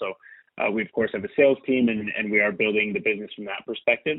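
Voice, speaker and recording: With a Canadian accent, this man speaks at a medium pitch with fairly even intonation. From northern Ontario, Canada. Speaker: tech company CEO. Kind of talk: interview. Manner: hesitant, many fillers.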